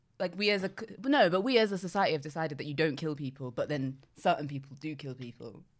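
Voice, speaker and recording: With a London accent, the voice rushes along at a very fast pace with hardly any pauses, lively intonation and big swings in loudness. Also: woman, very deep, low pitch for a woman. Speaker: podcast co-host. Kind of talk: casual chat.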